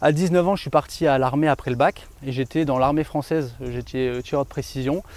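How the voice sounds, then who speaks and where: A man talks at a fairly quick pace with fairly even intonation and a fairly high pitch. He has a normal speaking voice. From France, Grenoble region. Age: 30s. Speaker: real estate dealer, ex-soldier. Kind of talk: interview. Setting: outdoors in a forest.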